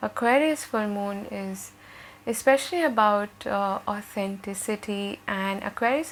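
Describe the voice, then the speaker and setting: A soft-spoken woman at medium pitch and a fairly slow pace. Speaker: tarot reader. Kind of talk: tarot reading.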